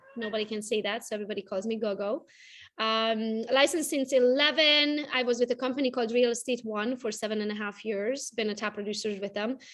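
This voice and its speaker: Against a quiet background, a woman with a Romanian accent talks very fast at a fairly high pitch with fairly even intonation. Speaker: real estate agent. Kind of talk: interview.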